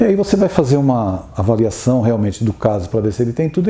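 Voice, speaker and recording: Noticeable background noise sits behind this man. His pitch swings very widely. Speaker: spiritist lecturer. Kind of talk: lecture.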